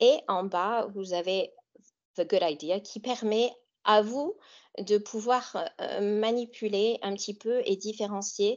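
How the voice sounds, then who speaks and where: Speaking very slowly with long, frequent pauses, a woman uses an American accent. Her pitch is fairly high and her intonation fairly even. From US Great Lakes region. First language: English (speaking French). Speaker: author and English teacher. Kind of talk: webinar presentation. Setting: online webinar. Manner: hesitant with fillers.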